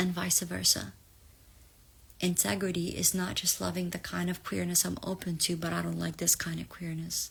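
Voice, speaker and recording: A woman speaks in an Arabic accent. Her pace is moderate. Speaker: spiritual reader. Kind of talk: live collective reading. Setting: livestream.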